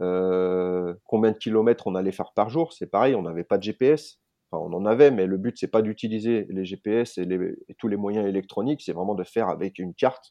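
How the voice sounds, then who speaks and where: At a moderate pace and with hardly any pauses, a man uses a normal speaking voice, fairly low in pitch with ordinary pitch variation. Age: 40s. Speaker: adventurer and bushcraft instructor. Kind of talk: interview.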